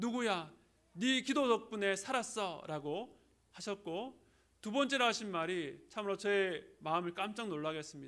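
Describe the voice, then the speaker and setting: With a slight Gyeongsang accent, a man talks at a moderate pace, with a high pitch and ordinary pitch variation. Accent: slight Gyeongsang, little dialect. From Busan, South Korea. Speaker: pastor. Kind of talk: sermon. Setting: church.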